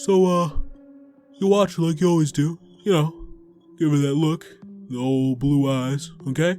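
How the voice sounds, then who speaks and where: A man performs a put-on character voice at a fairly high pitch and a moderate pace. He leaves long, frequent pauses while faint music plays in the background. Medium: read story. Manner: hesitant fillers as director, cold as owner.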